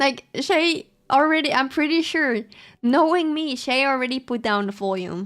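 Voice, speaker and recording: With a Dutch accent and lively intonation, the speaker moves at a moderate pace on a very clean recording with a silent background. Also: woman, high pitch for a woman. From Netherlands. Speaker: streamer. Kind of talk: casual chat. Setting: live stream. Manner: loud.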